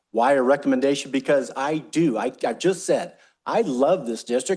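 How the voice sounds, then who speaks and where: A man with an American accent, fairly high pitch and very wide pitch swings, at a moderate pace against a quiet background. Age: 60s. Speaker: utility district general manager. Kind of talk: board meeting discussion. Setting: public board meeting.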